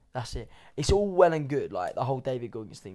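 A man with an English accent speaks in a dark, mellow tone with lively intonation, on a very clean recording with a silent background. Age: 20s. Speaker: fitness coach. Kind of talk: casual chat.

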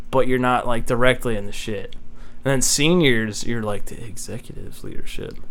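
A man with an American accent talks at a moderate pace and medium pitch, with ordinary pitch variation, hardly any pauses and audible room echo. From Texas. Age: 20s. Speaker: engineering student. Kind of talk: casual chat.

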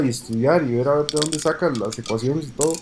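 Fairly high-pitched man at a fairly quick pace, ordinary pitch variation, noticeable background noise. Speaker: podcast co-host, engineer. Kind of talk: casual chat.

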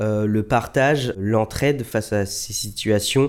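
Fairly even intonation in a man's medium-pitched speech. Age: 20s. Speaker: lung transplant recipient and marathon runner. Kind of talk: testimony. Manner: hesitant, many fillers.

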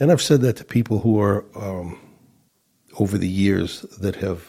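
A man speaks at a fairly low pitch and a moderate pace. His voice is somewhat breathy with a dark, mellow tone. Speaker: church minister. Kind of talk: casual chat.

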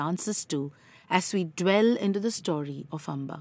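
The tone is solemn and dramatic, with ordinary pitch variation. The recording is very clean, with a silent background. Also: woman. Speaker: storyteller. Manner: solemn, dramatic, measured pacing.

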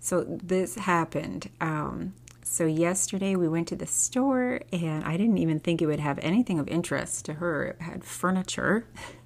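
A soft-spoken woman at a moderate pace, with lively intonation. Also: fairly low pitch for a woman. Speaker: homeschooling podcast host, former teacher. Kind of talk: casual solo podcast monologue. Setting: home recording at night.

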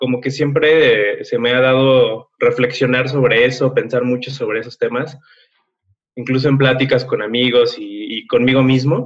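A man with a normal speaking voice talks at a fairly slow pace, his medium pitch held in fairly even intonation. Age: 20s. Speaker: content creator and podcaster. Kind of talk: casual interview.

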